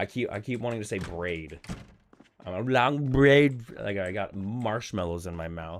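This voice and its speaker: A man talks with lively intonation at a moderate pace. His pitch is fairly low. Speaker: gaming streamer. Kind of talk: casual gameplay livestream chat. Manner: stumbling over words.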